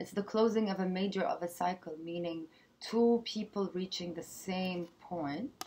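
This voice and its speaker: At a very slow pace, a woman speaks at a medium pitch with ordinary pitch variation. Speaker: tarot reader. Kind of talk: improvised tarot reading to camera. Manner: hesitant, many filler sounds. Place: home room. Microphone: webcam.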